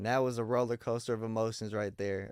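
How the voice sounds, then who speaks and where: This is a plain, everyday voice with an American accent. It moves at a fairly quick pace with fairly even intonation. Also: man. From Miami, Florida. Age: 30s. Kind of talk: casual interview.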